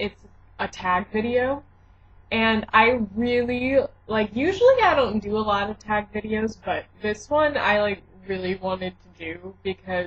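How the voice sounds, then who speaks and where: A woman talks with an American accent at a fairly slow pace. Her voice is fairly high and somewhat breathy, with ordinary pitch variation. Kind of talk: casual talk to camera. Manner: chatty, upbeat.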